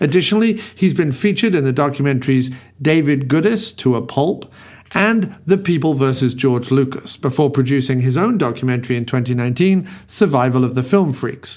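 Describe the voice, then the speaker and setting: Using an ordinary speaking voice, a man talks at a fairly quick pace with lively intonation and a fairly high pitch. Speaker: podcast host. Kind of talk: podcast intro monologue. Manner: wry, comedic.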